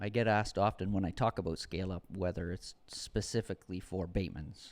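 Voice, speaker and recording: Recorded very cleanly over a silent background, a man with an unremarkable speaking voice talks at a fairly low pitch and a moderate pace, his intonation fairly even. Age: 50s. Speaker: custom home builder, furniture business partner. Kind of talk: casual chat.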